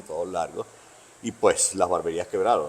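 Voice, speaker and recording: This man speaks at a moderate pace. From Venezuela, Caracas (born in Bogotá, moved at 13-14). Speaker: veteran barber. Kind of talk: interview, casual conversation. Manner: hesitant, repeats words.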